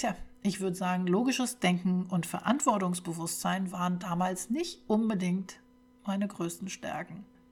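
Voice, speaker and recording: Over music in the background, the voice moves at a moderate pace with fairly even intonation. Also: woman, medium pitch for a woman. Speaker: podcast host. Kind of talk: personal testimony monologue.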